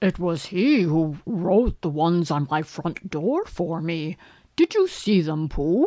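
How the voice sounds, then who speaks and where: In a put-on character voice at a middle pitch, the speaker goes at a fairly slow pace over a quiet background. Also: female-sounding voice. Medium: read story. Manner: pompous, long-winded.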